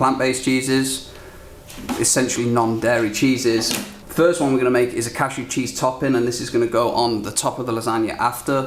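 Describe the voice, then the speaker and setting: A man with a British accent talks at a fairly quick pace and medium pitch. There is audible room echo and noticeable background noise. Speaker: cooking show host. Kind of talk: cooking demonstration. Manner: animated.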